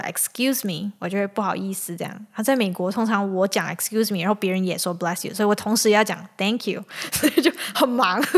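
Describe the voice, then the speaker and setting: Speaking at a fairly quick pace, a woman uses a medium pitch. The pitch varies in an ordinary way. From Malaysia. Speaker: podcast host. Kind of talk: casual chat.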